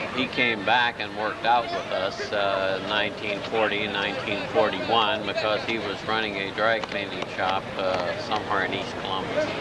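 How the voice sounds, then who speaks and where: Noticeable background noise and audible room echo accompany a man who speaks with hardly any pauses in a fairly low pitch and a monotone, flat intonation. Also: moderate pace. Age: 60s. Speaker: former college athlete. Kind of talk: interview. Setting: outdoors. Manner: halting.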